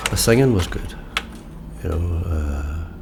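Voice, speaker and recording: A man with a Derry accent speaks over noticeable background noise. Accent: Northern Irish (Derry). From Derry, Northern Ireland. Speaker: musician, songwriter, community worker and storyteller. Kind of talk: interview answer. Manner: laid back, quietly sage.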